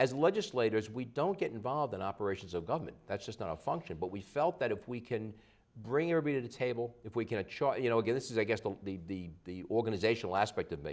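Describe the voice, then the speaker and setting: Very fast and full of lively intonation, a man delivers his lines. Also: medium pitch for a man. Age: 60s. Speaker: local politician. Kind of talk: TV interview.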